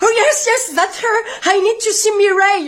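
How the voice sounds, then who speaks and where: In a squeaky, put-on character voice, the speaker talks at an extremely high pitch and a fairly slow pace. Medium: comedy sketch. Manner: polite, upbeat.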